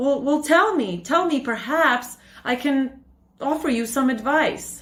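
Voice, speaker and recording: Here a woman uses a put-on character voice with a high pitch. Her delivery runs at a fairly slow pace. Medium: read story. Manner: gentle, soothing, repetitive.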